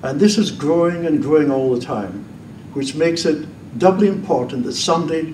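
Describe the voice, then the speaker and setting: This man's voice is fairly high, with ordinary pitch variation at a moderate pace. Audible room echo surrounds it. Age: 80s+. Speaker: former priest, debater. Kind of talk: public debate speech. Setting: stage with audience.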